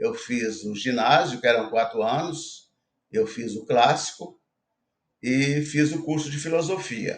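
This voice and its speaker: Here a man talks at a very slow pace. His pitch sits in the medium range. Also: ordinary pitch variation. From Brazil, interior of Minas Gerais. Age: 70s. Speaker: retired investor. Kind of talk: interview, life story.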